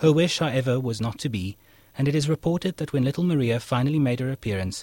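This man has an ordinary speaking voice, a medium pitch and lively intonation. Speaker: radio host. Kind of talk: scripted narration. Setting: studio.

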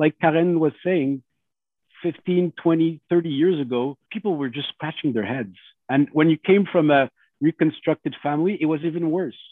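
In a French accent, a man speaks with a fairly high pitch. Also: ordinary pitch variation, moderate pace. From Montreal. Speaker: lawyer. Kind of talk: family conversation.

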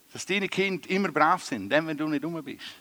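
A man's unremarkable speaking voice, fairly high in pitch, at a fairly quick pace, with a dry, close sound and no echo. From Switzerland, Graubünden. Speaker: comedian. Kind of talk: stand-up. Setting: stage with audience.

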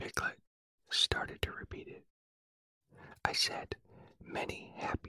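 A man whispers in a soothing tone at a fairly slow pace, with long, frequent pauses. The sound is dry and close, with no echo. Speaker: sleep podcast host and narrator. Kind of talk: bedtime story reading, whispered; whispered adaptation, storytelling. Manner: soft, slow, soothing whisper.

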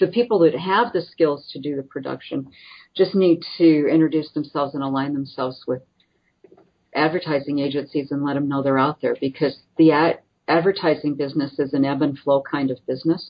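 With a Midwestern US accent, a woman speaks at a very deep, low pitch. Her pace is moderate, with ordinary pitch variation. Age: 60s. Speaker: nonprofit president. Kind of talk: interview.

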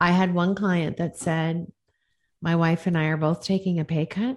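A woman with a normal speaking voice and fairly low pitch uses fairly even intonation on a very clean recording with a silent background. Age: 50s. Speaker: executive coach. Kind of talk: interview.

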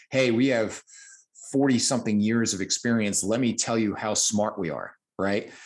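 In an American accent, a man speaks at a moderate pace with ordinary pitch variation and a plain, everyday voice, the background quiet. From New Jersey. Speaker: fitness coach and podcast host. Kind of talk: casual chat.

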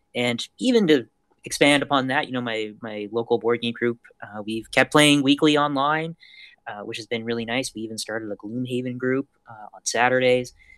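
A man with a Canadian accent speaks in a normal speaking voice at a moderate pace and medium pitch, his intonation fairly even. His loudness swings widely, and the sound is dry and close with no echo. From Canada. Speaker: podcast guest. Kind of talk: casual chat.

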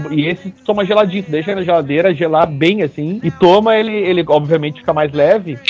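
A man with a high pitch races along at a very fast pace with hardly any pauses and ordinary pitch variation. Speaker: podcast co-host. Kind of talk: casual chat. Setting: studio.

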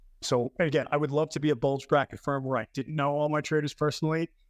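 A man with a New York accent talks at a very fast pace and fairly high pitch. His intonation stays fairly even. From New York City, the Bronx. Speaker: trading firm executive. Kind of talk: interview conversation.

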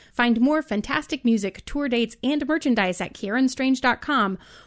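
Against a quiet background, a woman with a high voice talks at a moderate pace with ordinary pitch variation. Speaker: podcast host. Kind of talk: actual play role-playing game.

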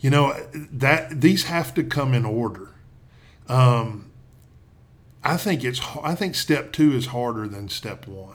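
A man speaks at a medium pitch with a Southern US accent. His pace is very slow, with long, frequent pauses. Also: big swings in loudness. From Tennessee. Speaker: pastor. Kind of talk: interview.

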